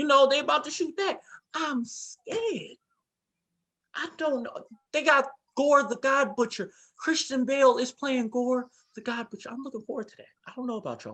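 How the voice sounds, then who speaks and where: An extremely high-pitched man speaks in a raised, projected voice at a moderate pace, with big swings in loudness and long, frequent pauses. His tone is bright, sharp and animated, with ordinary pitch variation. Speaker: podcast host. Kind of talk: casual chat.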